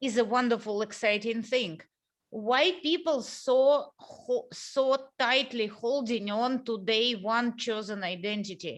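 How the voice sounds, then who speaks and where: Very slowly, a woman speaks in a Russian accent with ordinary pitch variation. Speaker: interview host. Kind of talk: casual interview conversation. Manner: halting.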